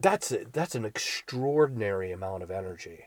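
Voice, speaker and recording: Somewhat breathy and at a fairly slow pace, a man speaks with lively intonation. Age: 50s. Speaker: podcast host. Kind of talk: reflective solo monologue. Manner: halting.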